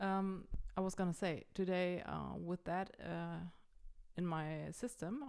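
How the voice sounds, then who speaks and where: This woman has a German accent and a fairly low pitch. She speaks at a fairly slow pace. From Germany. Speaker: vlogger. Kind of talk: casual vlog. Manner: halting, many fillers.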